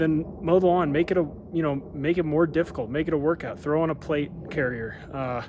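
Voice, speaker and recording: A man with a fairly high pitch talks at a fairly quick pace with fairly even intonation. There is noticeable background noise. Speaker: small business owner and vlogger. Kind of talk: casual vlog.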